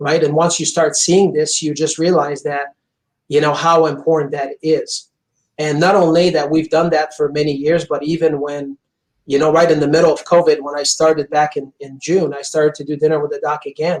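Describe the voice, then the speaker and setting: This speaker has a Quebec accent. The delivery is fairly quick, with flat, monotone intonation. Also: man, fairly high pitch for a man. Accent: French Canadian accent in English. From Quebec, Montreal. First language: French. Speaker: chiropractor. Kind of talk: interview. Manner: intense.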